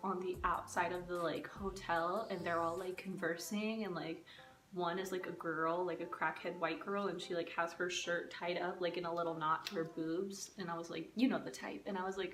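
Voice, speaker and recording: A soft-spoken woman with a fairly low pitch, monotone and flat, at a moderate pace with hardly any pauses, amid audible room echo and music in the background. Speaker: storytime vlogger. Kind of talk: casual storytime monologue.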